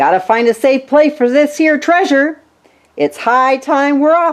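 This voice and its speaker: In a put-on character voice, a woman speaks loudly at a high pitch and a moderate pace. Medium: read story. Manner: loud, blustering pirate talk.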